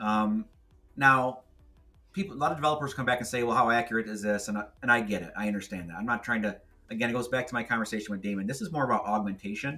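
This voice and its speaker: A man at a very fast pace with ordinary pitch variation, music in the background. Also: medium pitch for a man. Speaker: tech podcast host. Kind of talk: tech demo walkthrough.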